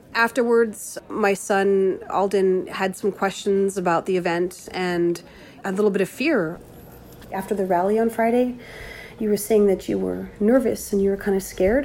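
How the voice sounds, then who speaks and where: An unremarkable speaking voice, this woman's is medium in pitch, with a moderate pace and ordinary pitch variation. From Plains Cree, Canada. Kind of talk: personal diary, reflective.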